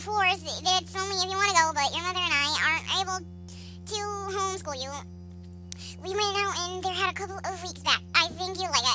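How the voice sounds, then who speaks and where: A put-on character voice, raised and projected, at a fairly quick pace with long, frequent pauses over loud background music. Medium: solo performance.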